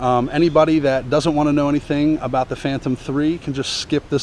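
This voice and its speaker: A man at a fairly quick pace, fairly even in intonation, with noticeable background noise. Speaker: vlogger. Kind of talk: tutorial. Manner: fast.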